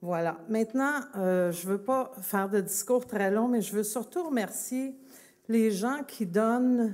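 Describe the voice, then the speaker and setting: Speaking at a very slow pace, a woman with a fairly high pitch uses ordinary pitch variation on a very clean recording with a silent background. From Quebec, Longueuil. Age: 60s. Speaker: festival organization president. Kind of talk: public speech. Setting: outdoor public event, broadcast live on radio. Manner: hesitant, many fillers.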